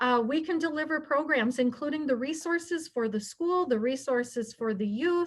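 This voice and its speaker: This woman speaks at a moderate pace, her high-pitched voice showing ordinary pitch variation. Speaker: nonprofit director and prevention educator. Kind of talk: presentation to a club.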